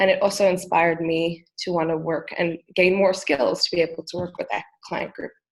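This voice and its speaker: In a plain, everyday voice, a woman with an American accent talks at a fairly quick pace, fairly low in pitch with fairly even intonation. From South Africa and New York State, US (from age 10). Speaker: music therapist. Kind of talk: interview.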